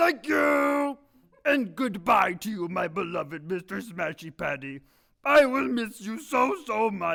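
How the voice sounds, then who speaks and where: Shouting in a put-on character voice, a man uses a high pitch with very wide pitch swings at a fairly slow pace. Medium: stage play.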